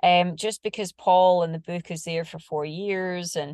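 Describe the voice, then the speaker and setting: A woman with a normal speaking voice talks at a moderate pace with fairly even intonation. The sound is dry and close with no echo, against a quiet background. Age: 40s. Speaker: screenwriter and producer, triathlete. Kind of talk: interview.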